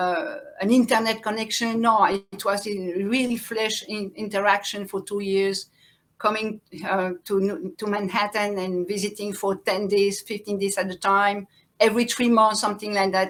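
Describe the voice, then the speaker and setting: A woman with a French accent speaks with fairly even intonation. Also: medium pitch for a woman, moderate pace. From France and Belgium. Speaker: farmer and activist. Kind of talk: interview. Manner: halting.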